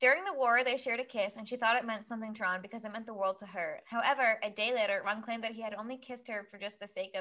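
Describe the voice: It is plain reading aloud.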